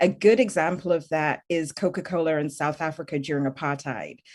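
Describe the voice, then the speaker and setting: A woman speaks with a very deep, low pitch and ordinary pitch variation. Her pace is moderate, and the background is quiet. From UK. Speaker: tech policy expert. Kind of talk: panel discussion.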